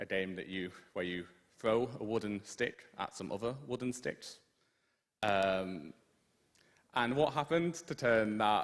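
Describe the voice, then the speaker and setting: With a British accent, a man speaks in a fairly low pitch at a fairly slow pace, using lively intonation and long, frequent pauses. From Britain. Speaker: student union liaison, guest speaker. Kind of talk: lecture presentation.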